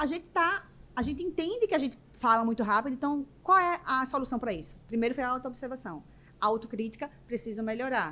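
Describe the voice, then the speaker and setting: At a fairly quick pace, a woman speaks in a high voice with very wide pitch swings. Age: 40s. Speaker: business mentor and entrepreneur. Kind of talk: podcast interview. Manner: naturally fast talker.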